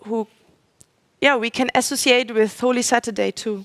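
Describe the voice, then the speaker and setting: In a non-native accent, a woman speaks at a high pitch and fairly slow pace with fairly even intonation. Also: dry, close sound with no echo. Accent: non-native English speaker, audible. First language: German. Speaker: speaker at a religious forum. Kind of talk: religious talk. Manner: halting, with fillers and self-corrections.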